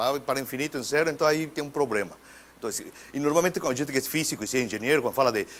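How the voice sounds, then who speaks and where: A man's fairly high voice with a Spanish accent, very fast, with ordinary pitch variation. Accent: Spanish-accented Portuguese (portunhol). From Mexico. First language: Spanish (speaking Portuguese). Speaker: physics professor. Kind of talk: lecture. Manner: halting, with repetitions.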